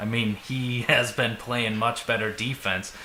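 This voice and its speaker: A man with a Minnesotan accent talks over noticeable background noise. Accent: Minnesota. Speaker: sports fan podcast co-host. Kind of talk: casual chat.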